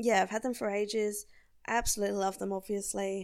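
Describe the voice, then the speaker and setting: This woman has an Australian accent and a relaxed tone. She talks at a moderate pace. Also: very clean recording, silent background. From South Australia. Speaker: podcast host. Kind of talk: casual solo monologue. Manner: relaxed, laughing often.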